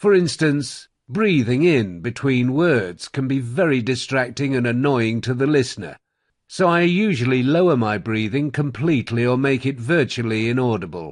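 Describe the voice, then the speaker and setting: A man with a Received Pronunciation accent speaks at medium pitch and a moderate pace. His intonation is lively, and the background is quiet. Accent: British Received Pronunciation. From England. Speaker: audiobook narrator. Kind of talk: promotional talk about own services. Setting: home studio.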